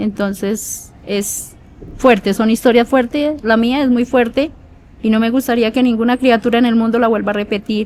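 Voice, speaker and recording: At a moderate pace with fairly even intonation, this is a normal speaking voice. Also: woman, fairly high pitch for a woman. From Colombia, rural Meta (Llanos). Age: 40s. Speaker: prison inmate interviewee. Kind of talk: interview testimony.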